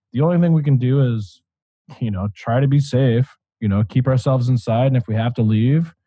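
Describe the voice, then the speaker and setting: A man's medium-pitched, somewhat breathy voice with an American accent, at a fairly quick pace. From Michigan, US. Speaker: podcast host. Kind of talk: casual chat. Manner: animated.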